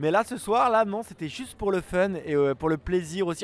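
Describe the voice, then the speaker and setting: This man's voice sits high in pitch, with ordinary variation. He talks at a moderate pace. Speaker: slam event organizer and poet. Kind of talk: slam performance. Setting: bar.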